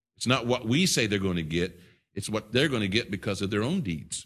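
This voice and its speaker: A man talks with lively intonation in a bright, sharp tone. The background is quiet. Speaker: pastor. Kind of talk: sermon. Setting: church.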